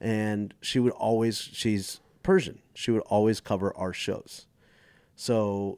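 In an ordinary speaking voice with an American accent, a man speaks at a fairly low pitch with fairly even intonation, on a very clean recording with a silent background. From Dallas, Texas. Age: 40s. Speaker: stand-up comedian. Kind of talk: casual chat.

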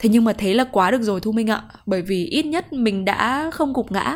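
On a very clean recording with a silent background, a woman talks very fast in a fairly high, somewhat breathy voice with lively intonation. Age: 20s. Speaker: podcast host. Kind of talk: personal reflective monologue.

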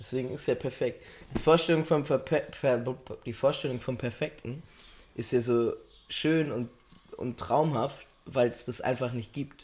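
A man's somewhat breathy, medium-pitched voice at a fairly slow pace, with fairly even intonation and long, frequent pauses. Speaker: podcast co-host. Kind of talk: casual chat.

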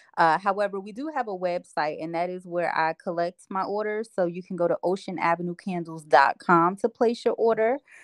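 Over a quiet background, a woman with a normal speaking voice talks at a fairly quick pace and medium pitch, with ordinary pitch variation and a dry, close sound with no echo. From New Jersey (Asbury Park). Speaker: small business owner. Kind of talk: casual interview.

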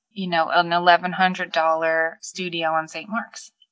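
At a very slow pace, a woman speaks in a fairly low pitch with a bright, sharp tone. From Long Island, New York. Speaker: vintage shop owner. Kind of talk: casual chat.

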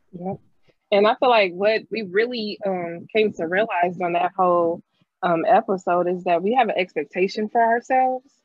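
Here a woman uses an ordinary speaking voice at a medium pitch. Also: ordinary pitch variation, moderate pace. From St. Louis, Missouri. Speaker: high school teacher and podcast co-host. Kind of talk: casual chat.

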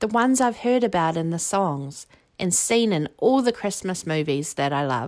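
With a New Zealand accent, the speaker moves at a moderate pace through very wide pitch swings on a very clean recording with a silent background. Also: woman, fairly low pitch for a woman. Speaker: quiz podcast host. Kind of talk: scripted quiz presentation. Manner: animated.

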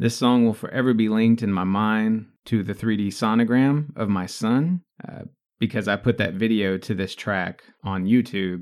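A man talks in an ordinary speaking voice, fairly low in pitch. His pace is moderate, with ordinary pitch variation. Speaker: podcast host. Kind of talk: casual banter, music review chat.

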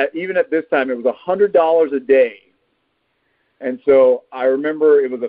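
This man talks with a Texan accent at a fairly high pitch. His pitch variation is ordinary. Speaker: actor. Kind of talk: casual interview.

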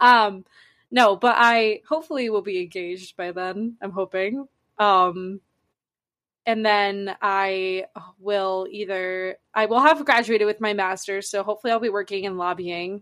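Here is a woman with a plain, everyday voice at medium pitch. She talks at a fairly slow pace with ordinary pitch variation against a quiet background. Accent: American. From north central Massachusetts. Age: 20s. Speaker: podcast co-host. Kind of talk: casual chat. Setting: video call from a basement.

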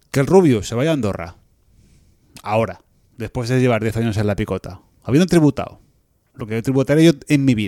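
Dry and close with no echo, a man's dark, mellow voice sits at medium pitch with lively intonation, moving at a fairly quick pace broken by long, frequent pauses. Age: 40s. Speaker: podcast co-host. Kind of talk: casual chat.

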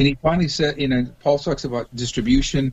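Speaking very fast with a General American accent, a man's voice comes across as somewhat breathy. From US West Coast, Los Angeles. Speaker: rock musician and pastor. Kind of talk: interview.

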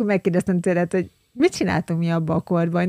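The speech comes at a very fast pace in a monotone, flat intonation. The sound is dry and close, with no echo. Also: woman. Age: 40s. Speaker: podcast co-host, consultant. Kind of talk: casual chat.

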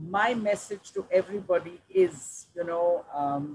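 A very slow, somewhat breathy woman's voice at a medium pitch, with lively intonation. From India, Delhi, Punjabi family. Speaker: social sector leader, nonprofit executive director. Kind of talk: interview, career story.

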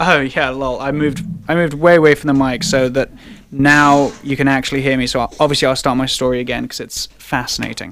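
Speaking with an English accent, a man talks at a very fast pace. His voice is fairly high in pitch. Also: fairly even intonation. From England. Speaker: sports podcast host. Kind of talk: casual banter.

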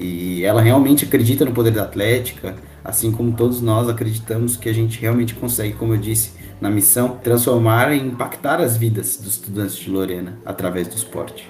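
Amid audible room echo and noticeable background noise, a man speaks fairly quickly at a medium pitch with ordinary pitch variation. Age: 20s. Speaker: university student, sports association marketing captain. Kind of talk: casual podcast interview.

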